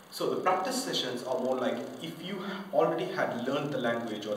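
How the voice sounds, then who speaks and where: With light background noise and audible room echo, a man speaks at a moderate pace, his pitch swinging very widely. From Indian-born French. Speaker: English teacher. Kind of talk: self-promotional pitch to camera. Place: home room. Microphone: camera far.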